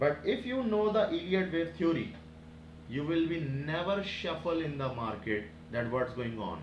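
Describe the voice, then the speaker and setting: A man speaks at a fairly high pitch with very wide pitch swings. Audible room echo and noticeable background noise accompany him. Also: moderate pace. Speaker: forex trading teacher. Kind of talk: tutorial. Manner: halting.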